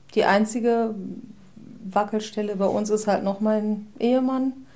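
Monotone, flat intonation from a woman at a medium pitch, with audible room echo. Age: 40s. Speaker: formerly long-term unemployed office worker. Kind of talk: interview.

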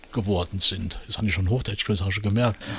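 A man speaks with a Saarland accent, his voice somewhat breathy. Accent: Marpingen Saarland dialect. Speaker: comedian and musician. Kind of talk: casual chat.

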